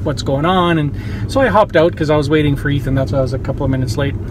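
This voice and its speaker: Very fast speech with ordinary pitch variation, audible room echo and noticeable background noise. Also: man. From born in former Yugoslavia (Croatia). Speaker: vlogger. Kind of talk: casual vlog talk. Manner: casual, animated.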